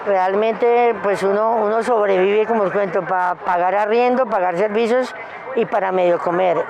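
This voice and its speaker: A woman talks at a moderate pace and a medium pitch with fairly even intonation and very even loudness. Noticeable background noise runs underneath. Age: 60s. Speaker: street vendor. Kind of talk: interview testimony. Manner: halting.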